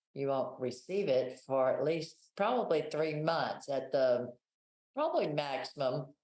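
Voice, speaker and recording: A woman talks at a fairly slow pace. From Texas, USA. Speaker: travel agent. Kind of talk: interview answer.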